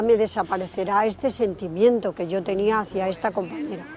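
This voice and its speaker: A woman's medium-pitched voice at a fairly slow pace, with music in the background. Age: 60s. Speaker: interviewee. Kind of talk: testimony.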